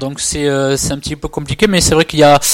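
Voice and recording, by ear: The delivery is fast, with fairly even intonation. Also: man, fairly high pitch for a man.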